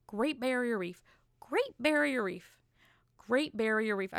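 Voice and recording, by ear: A woman uses a put-on character voice. Her pitch is fairly high. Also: fairly slow pace.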